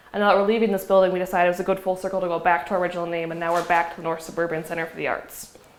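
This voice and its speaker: A woman talks at a very fast pace with hardly any pauses, her intonation monotone and flat, over noticeable background noise. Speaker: executive director of an arts center. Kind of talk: public talk.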